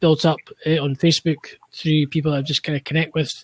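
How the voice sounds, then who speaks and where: In a dry, close sound with no echo, a man with a Scottish accent talks very fast at a fairly high pitch. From Scotland. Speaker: podcaster and cleaning business owner. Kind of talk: casual chat. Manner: halting.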